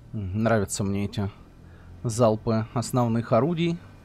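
With a fairly low pitch and a slightly mellow tone, a man speaks. His pace is moderate and his intonation lively.

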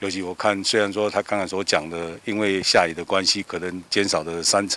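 A man with a very deep, low pitch speaks at a moderate pace in a monotone, flat intonation. The sound is dry with no echo. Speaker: interviewee praising farmer. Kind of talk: news interview. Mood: warm, appreciative praise. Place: farm machine. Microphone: handheld.

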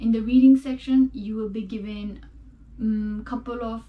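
Somewhat breathy and dark, mellow in tone, a woman speaks at a fairly high pitch with fairly even intonation. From Nepal. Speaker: student sharing test experience; test prep video host. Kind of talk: tutorial. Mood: calm, friendly. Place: home room.

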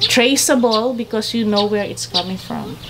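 Loud background noise accompanies speech with ordinary pitch variation. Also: woman. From Philippines. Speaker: coffee farmer and cafe owner. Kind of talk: explanatory tour talk. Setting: outdoors on a farm. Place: farm machine.

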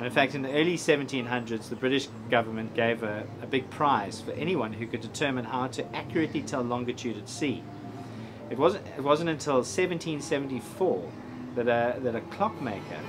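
There is noticeable background noise as a man speaks with ordinary pitch variation. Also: moderate pace. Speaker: presenter. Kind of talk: piece to camera. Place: street.

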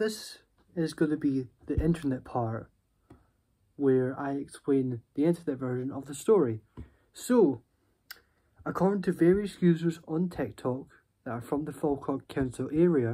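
A man's dark, mellow voice at a moderate pace, with ordinary pitch variation, long, frequent pauses and a quiet background. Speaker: vlogger. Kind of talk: casual vlog storytelling. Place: home room. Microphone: phone near.

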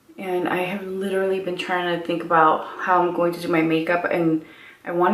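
A woman talks at a moderate pace in a monotone, flat intonation. Audible room echo surrounds her voice. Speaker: beauty vlogger. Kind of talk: casual makeup tutorial chat. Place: home room.

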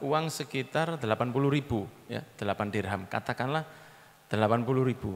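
The man's pitch rises and falls in an ordinary way as he talks. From Indonesia. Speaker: Islamic preacher. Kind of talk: sermon. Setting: religious assembly with audience. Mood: light, joking, warm. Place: hall. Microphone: handheld.

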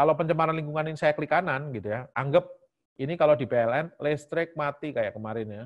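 Against a quiet background, a man with a fairly high pitch speaks very fast with ordinary pitch variation. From Central Java, Indonesia (Semarang). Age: 40s. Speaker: IT lecturer and enterprise architecture researcher. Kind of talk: lecture.

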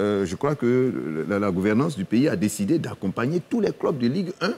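A man's dark, mellow tone with vocal fry and very wide pitch swings. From Côte d'Ivoire. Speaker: football club president; guest. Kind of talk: TV panel debate. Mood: earnest, persuasive. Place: studio. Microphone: lapel.

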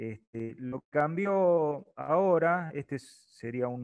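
This man's voice is pitched fairly high and varies in an ordinary way. Behind him, the background is quiet. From Argentina. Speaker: presenter explaining online registration procedure. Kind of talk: webinar tutorial. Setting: video call webinar. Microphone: webcam.

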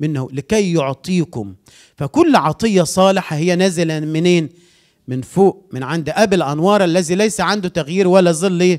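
This man speaks with a high pitch. His pitch moves in an ordinary way against a quiet background. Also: fairly slow pace. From Egypt. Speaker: pastor. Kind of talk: sermon. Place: church.

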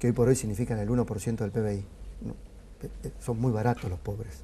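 Dark, mellow tone from a man, at a moderate pace. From Argentina. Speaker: sociologist; guest. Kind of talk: interview. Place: studio. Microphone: lapel.

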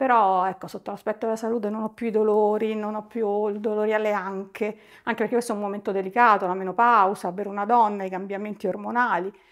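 A woman's fairly high voice, monotone and flat, at a fairly quick pace against a quiet background. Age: 50s. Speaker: client giving a testimonial. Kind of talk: testimony. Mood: warm, content. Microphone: lapel.

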